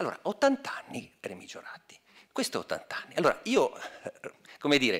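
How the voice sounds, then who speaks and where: Someone whispers with big swings in loudness and long, frequent pauses. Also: man, moderate pace. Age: 50s. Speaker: academic, former historian; speaker. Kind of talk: speech. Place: hall. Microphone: podium.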